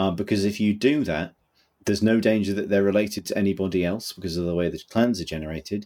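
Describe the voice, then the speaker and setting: With a British accent, a man talks at a very fast pace in a fairly low pitch, his tone dark and mellow, with ordinary pitch variation. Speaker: podcast co-host. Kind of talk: casual chat. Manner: animated.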